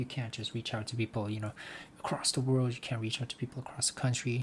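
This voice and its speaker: A man speaks at a medium pitch, with a somewhat breathy sound. His pitch rises and falls in an ordinary way. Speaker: vlogger. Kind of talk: casual monologue vlog. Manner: halting, with repeated words.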